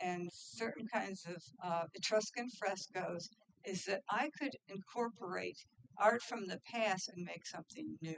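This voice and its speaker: Vocal fry from a woman at medium pitch, with ordinary pitch variation and a fairly slow pace. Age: 70s. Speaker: artist. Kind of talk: audience Q&A at art reception. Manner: halting, many repetitions.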